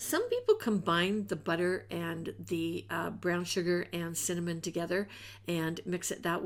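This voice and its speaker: There is vocal fry in a woman's fairly low voice, her intonation fairly even, captured in a very clean recording with a silent background. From England. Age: 60s. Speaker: home cooking youtuber. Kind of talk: cooking tutorial. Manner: casual.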